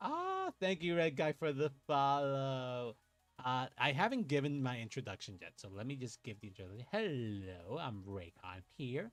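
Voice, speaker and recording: A man at medium pitch talks at a moderate pace in an animated tone, with very wide pitch swings and big swings in loudness. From Puerto Rico. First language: Spanish. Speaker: VTuber card game streamer. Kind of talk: casual gameplay livestream chat. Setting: livestream.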